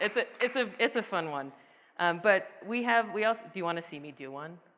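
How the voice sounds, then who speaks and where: A woman's bright, sharp voice with a Midwestern US accent, very wide pitch swings, and a moderate pace. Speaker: software product manager. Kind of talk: conference presentation with live demo. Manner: casual, animated; halting, many fillers.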